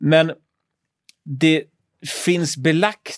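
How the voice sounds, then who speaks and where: Recorded very cleanly against a silent background, with a dry, close sound and no echo, a man speaks at a very slow pace. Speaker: history podcast co-host. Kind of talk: casual chat. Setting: radio studio. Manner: halting. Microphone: studio mic, not gaming headset.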